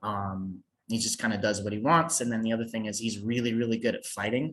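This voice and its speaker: In an American accent, a man speaks at a fairly quick pace with fairly even intonation. He has an ordinary speaking voice. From United States. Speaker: fantasy author. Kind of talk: interview. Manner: casual, with filler words.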